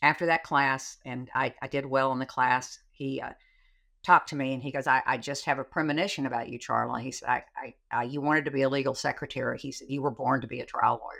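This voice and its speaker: In a Texan accent, a woman speaks very fast at a very deep, low pitch, her bright, sharp tone held flat and monotone. Her loudness swings widely in a very clean recording with a silent background. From Texas, Sherman. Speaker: trial lawyer. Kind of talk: casual chat.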